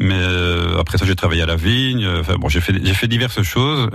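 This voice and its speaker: A man with a Belgian accent speaks at a very deep, low pitch. His pace is moderate, with music in the background. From Belgium, Wallonia. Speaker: wine shop manager. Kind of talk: radio interview.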